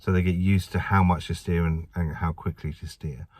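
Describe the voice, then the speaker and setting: A man with an English accent has a very deep, low pitch. The recording is very clean with a silent background. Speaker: driving instructor trainer. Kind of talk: tutorial. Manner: fast; casual.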